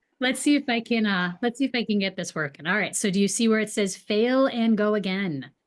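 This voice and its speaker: A fairly high-pitched woman with a Boston accent, fairly quick pace, hardly any pauses, ordinary pitch variation, and a quiet background. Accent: Boston accent, occasionally drops R. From New England. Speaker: real estate agent. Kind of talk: webinar presentation.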